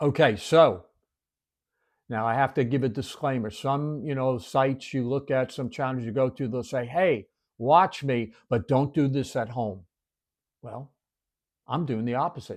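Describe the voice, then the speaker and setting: In a very clean recording with a silent background, a man speaks at a fairly slow pace with long, frequent pauses. His pitch is medium with ordinary variation. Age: 60s. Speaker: devotional video host. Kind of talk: devotional teaching. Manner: conversational.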